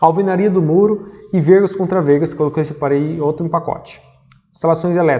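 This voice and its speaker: Speaking at a fairly quick pace, a man with a high-pitched voice keeps his intonation fairly even. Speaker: civil engineer teaching construction management. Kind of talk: lecture.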